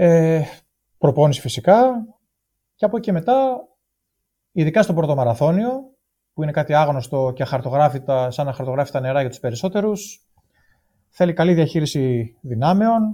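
Against a silent background in a very clean recording, a man talks at a moderate pace with a dark, mellow, somewhat breathy tone, fairly high pitch, lively intonation and long, frequent pauses. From Greece, Thessaloniki. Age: 40s. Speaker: amateur ultramarathon runner. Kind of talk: casual interview chat. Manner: halting, many hesitations.

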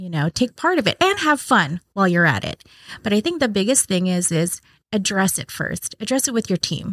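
On a very clean recording with a silent background and a dry, close sound with no echo, a woman's voice moves in very wide pitch swings. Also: medium pitch for a woman, fairly quick pace. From Hawaii (Maui), teens in Las Vegas. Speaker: church operations director. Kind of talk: casual interview.

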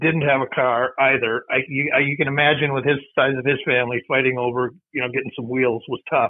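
A man with an Upper Midwest accent, fairly high-pitched for a man, at a fairly quick pace. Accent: Upper Midwest (Minnesota). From Minnesota, Mankato. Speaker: college friend of late author. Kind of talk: casual chat. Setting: call.

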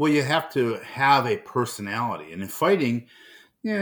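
Heard on a very clean recording with a silent background, a man with an American accent speaks at a moderate pace in an ordinary speaking voice at medium pitch. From Cleveland, Ohio. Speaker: retired pro fighter. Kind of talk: casual chat.

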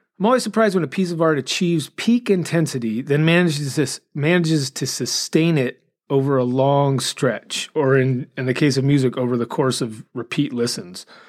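At a moderate pace and with hardly any pauses, the speaker uses lively intonation on a very clean recording with a silent background. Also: man, fairly high pitch for a man. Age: 50s. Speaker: podcast host and music reviewer. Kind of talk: casual monologue with album reviews. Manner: occasionally stumbles over words.

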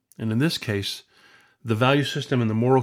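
An ordinary speaking voice moves at a fairly quick pace with ordinary pitch variation. The recording is very clean with a silent background. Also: man. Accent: American. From US West Coast, Lawndale, California. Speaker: podcaster, storyteller. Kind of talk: personal storytelling monologue.

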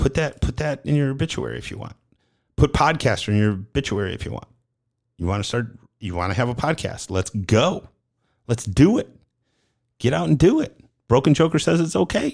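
With vocal fry and a medium pitch, a man speaks with very wide pitch swings, big shifts in loudness and long, frequent pauses, on a very clean recording with a silent background. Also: fairly quick pace. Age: 50s. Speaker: podcast host. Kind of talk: casual monologue.

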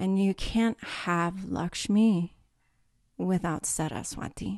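Against a quiet background, a woman with an American accent speaks at a very slow pace in a fairly low pitch with fairly even intonation. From California. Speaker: meditation teacher. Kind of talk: casual interview.

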